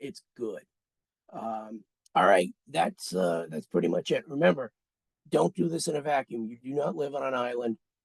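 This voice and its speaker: This man's medium-pitched voice has vocal fry, very wide pitch swings and big swings in loudness at a moderate pace. The sound is dry and close, with no echo. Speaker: emergency preparedness official. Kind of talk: webinar presentation. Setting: conference call.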